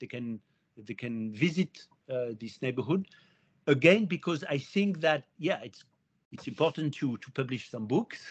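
A man with a French accent, medium pitch, lively intonation, a somewhat breathy quality, fairly slow pace and big swings in loudness, in a dry, close sound with no echo. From France. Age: 50s. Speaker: historian. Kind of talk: interview. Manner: halting.

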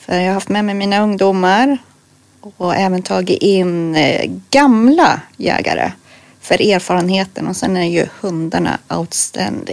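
At a fairly slow pace, a woman speaks in a medium pitch with ordinary pitch variation and an unremarkable speaking voice. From Örebro, central Sweden. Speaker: hunter and youth leader. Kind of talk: casual interview.

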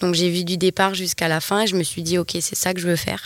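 In a normal speaking voice, a woman talks with fairly even intonation and a fairly low pitch. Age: 20s. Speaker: entrepreneur, wellness center manager. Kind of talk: casual interview.

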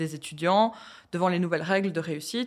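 Speaking very fast, a woman lets her pitch shift in an ordinary way. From Belgium, Hainaut. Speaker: student interviewer. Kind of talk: interview.

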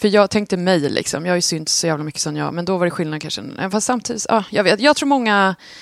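A woman at a medium pitch with lively intonation and a very fast pace. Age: 40s. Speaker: podcast co-host. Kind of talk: casual chat.

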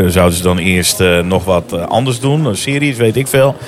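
A man speaks at a moderate pace with ordinary pitch variation while music plays in the background. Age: 50s. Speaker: primary school teacher. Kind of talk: casual chat. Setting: restaurant / café.

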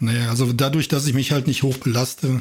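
There is a man's voice, somewhat breathy. His intonation stays fairly even. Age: 50s. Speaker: amateur runner. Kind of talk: casual chat.

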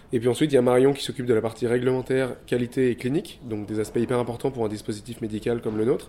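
A man talks at a very fast pace in a monotone, flat intonation. His tone is dark and mellow. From southern France. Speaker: start-up co-founder. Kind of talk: interview. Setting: office. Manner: hesitant.

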